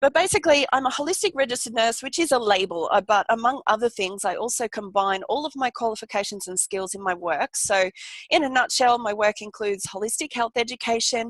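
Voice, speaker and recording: Over a quiet background, a woman with a fairly high pitch speaks at a fairly quick pace in an animated tone with lively intonation, the sound dry and close with no echo. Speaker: holistic nurse and wellness coach. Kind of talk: online workshop presentation. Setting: live video webinar. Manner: fast.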